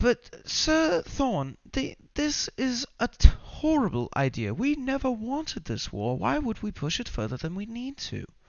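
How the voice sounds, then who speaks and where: This put-on character voice is squeaky and fairly high, moving at a moderate pace with hardly any pauses. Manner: protesting, nervous.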